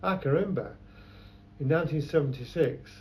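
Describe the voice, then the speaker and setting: Fairly quick speech from a man in a room with audible echo. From London. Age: 70s. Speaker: photographer. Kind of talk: oral history interview. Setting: his shop.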